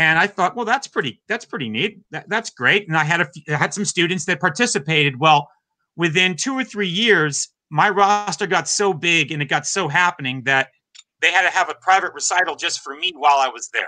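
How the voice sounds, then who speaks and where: Against a quiet background, a man speaks at a fairly quick pace with lively intonation. His voice is high-pitched with a bright, sharp tone. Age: 50s. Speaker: drummer and drum teacher; drum teacher. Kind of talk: interview. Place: home room.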